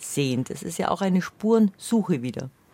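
This woman's voice has a dark, mellow tone and very wide pitch swings. She talks at a moderate pace. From Bavarian Swabia. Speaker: radio host. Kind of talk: radio conversation.

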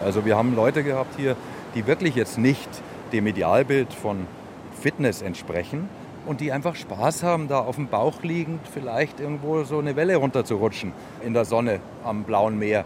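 A man's medium-pitched voice with lively intonation at a moderate pace, over noticeable background noise. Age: 50s. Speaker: surf camp owner. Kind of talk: interview.

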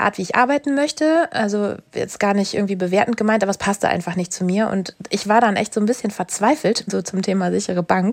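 A woman talking at a very fast pace. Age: 30s. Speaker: doctor. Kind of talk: coaching session.

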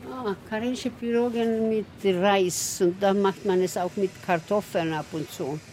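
Against noticeable background noise, a woman with a Swedish accent talks at a fairly slow pace with hardly any pauses and ordinary pitch variation. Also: medium pitch for a woman. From southwestern Finland, Swedish-speaking. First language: Swedish (speaking German). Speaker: tour guide. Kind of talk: guided tour.

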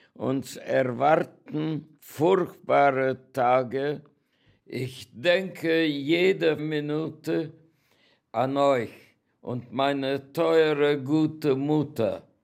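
A man's fairly high voice with fairly even intonation, at a very slow pace. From Hungary, Großwardein (Oradea). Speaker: Holocaust survivor and contemporary witness. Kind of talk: personal introduction and reading aloud.

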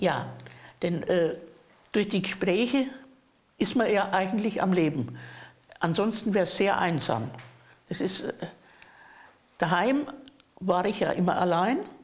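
A woman speaks at a medium pitch and a fairly slow pace, with long, frequent pauses. Her intonation is lively, and the room echo is audible. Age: old. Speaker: hospice resident. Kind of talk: interview. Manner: halting.

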